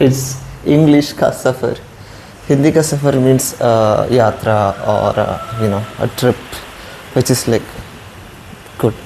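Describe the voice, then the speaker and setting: Noticeable background noise surrounds a man speaking at a fairly slow pace. His intonation is fairly even, with long, frequent pauses. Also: medium pitch for a man, very even loudness. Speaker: vlogger. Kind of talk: casual vlog monologue. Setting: outdoors.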